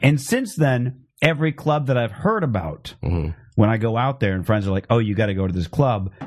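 Speaking at a fairly quick pace with hardly any pauses, a man with an ordinary speaking voice and an American accent uses a medium pitch and lively intonation. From Phoenix, Arizona. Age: 30s. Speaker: comedian podcast host. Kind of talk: casual chat. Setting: live-streamed internet show.

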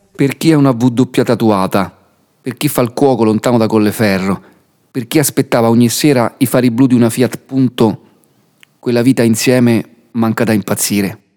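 Pausing long and often, a man speaks at a moderate pace in a medium-pitched, dark, mellow voice, with a dry, close sound and no echo. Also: fairly even intonation. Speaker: podcast narrator. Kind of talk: scripted narration.

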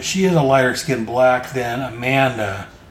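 Over noticeable background noise and audible room echo, a man with a medium pitch talks at a moderate pace with lively intonation. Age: 40s. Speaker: comic book podcast host. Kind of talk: solo podcast recap of comics. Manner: halting with frequent fillers.

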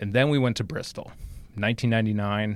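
A man speaks in an ordinary speaking voice with an American accent. His medium pitch shows ordinary pitch variation. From New Jersey. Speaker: racing social media manager. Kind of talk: interview. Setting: small room at a speedway.

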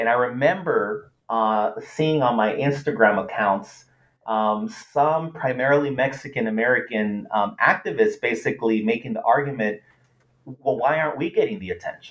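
A man with a Spanish accent talks at a moderate pace. His voice is fairly high, with lively intonation. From US West Coast (Los Angeles). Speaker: political science professor. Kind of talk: interview.

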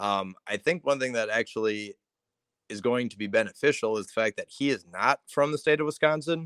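In a very clean recording with a silent background and a dry, close sound with no echo, a man speaks at a fairly quick pace in an unremarkable speaking voice. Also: medium pitch for a man, ordinary pitch variation. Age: 20s. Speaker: sports writer. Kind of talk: casual chat.

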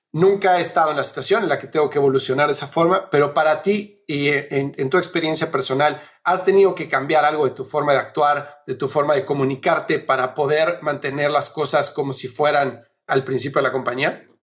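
A man speaks in a plain, everyday voice, fairly high in pitch, at a fairly quick pace with fairly even intonation. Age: 40s. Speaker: podcast host and business consultant. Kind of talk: interview; promo read.

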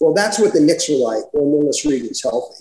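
This man has a dark, mellow tone and an American accent, with ordinary pitch variation. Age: 60s. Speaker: author. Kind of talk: interview.

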